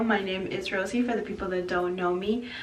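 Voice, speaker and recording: A woman's voice amid noticeable background noise, with audible room echo. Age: 20s. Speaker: vlogger, young mother. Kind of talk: casual get-to-know-me vlog. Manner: casual, with many fillers and hesitations.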